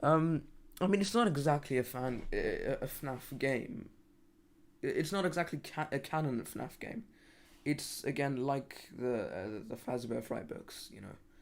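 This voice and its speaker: The speech comes at a fairly slow pace with a British accent. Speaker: gaming livestreamer. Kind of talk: casual livestream chat. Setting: live stream. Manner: halting, frequent stammering and restarts.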